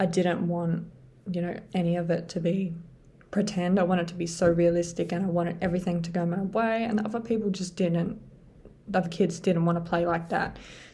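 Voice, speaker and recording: A woman with a fairly low pitch and a dark, mellow tone talks at a fairly quick pace in a monotone, flat delivery that is somewhat breathy. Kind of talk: casual talk to camera. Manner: hesitant, many filler sounds.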